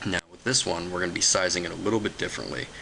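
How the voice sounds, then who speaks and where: Against noticeable background noise, a man talks in a very deep, low voice with fairly even intonation. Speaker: software tutorial maker. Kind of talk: tutorial. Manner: fast; halting, many fillers.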